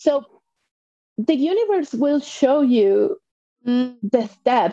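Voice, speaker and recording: With a Spanish accent, a woman talks in a dark, mellow tone, and the sound is dry and close with no echo. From Mexico. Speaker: life coach and author. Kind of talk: casual interview.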